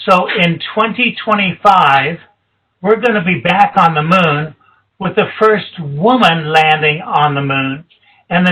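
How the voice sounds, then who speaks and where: A high-pitched man at a very slow pace, with ordinary pitch variation. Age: 60s. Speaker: retired space engineer. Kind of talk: presentation to students. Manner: animated.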